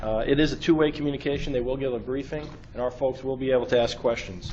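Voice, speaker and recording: Here is a man with a New York accent at medium pitch. He moves at a fairly quick pace with fairly even intonation. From New York City. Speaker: state transportation emergency official. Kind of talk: briefing to a government board. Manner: fast.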